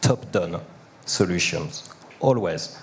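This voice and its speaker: A man speaks with a non-native accent. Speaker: panel participant. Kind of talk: panel discussion.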